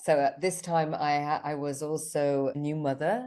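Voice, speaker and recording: Her tone dark and mellow, a woman speaks with a British accent. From Switzerland. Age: 50s. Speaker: business mentor and retreat founder. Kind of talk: podcast interview. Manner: halting.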